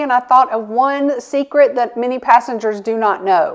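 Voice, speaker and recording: High pitch from a female speaker at a moderate pace, the pitch varying in an ordinary way. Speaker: travel vlogger. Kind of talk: casual vlog chat. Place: home room.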